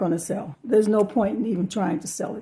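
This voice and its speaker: Somewhat breathy and dark, mellow in tone, a woman's medium-pitched voice moves with ordinary pitch variation. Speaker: part-time online reseller. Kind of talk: haul video commentary. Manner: casual, halting with fillers.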